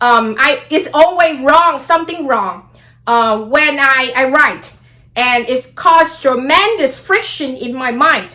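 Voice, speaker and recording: A woman with a Vietnamese accent speaks very slowly in a raised, projected voice, high-pitched with a bright, sharp tone and lively intonation. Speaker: astrology vlogger. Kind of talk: casual monologue vlog.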